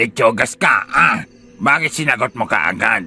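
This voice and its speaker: Faint music plays behind a man doing a raspy, put-on character voice. He speaks fairly slowly at medium pitch. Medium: audio drama. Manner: playful, teasing.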